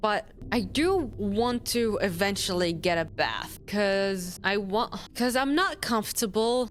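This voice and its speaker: A woman with a non-native accent, at a very slow pace with ordinary pitch variation. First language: not English. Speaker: streamer. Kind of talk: gaming livestream commentary. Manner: halting, many repetitions and false starts.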